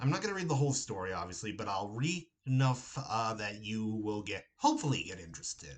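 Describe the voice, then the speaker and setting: A man with an unremarkable speaking voice and an American accent talks at medium pitch with lively intonation. His pace is fairly quick, with hardly any pauses. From Ohio, USA. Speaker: horror novelist. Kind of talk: casual talk to camera. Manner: upbeat.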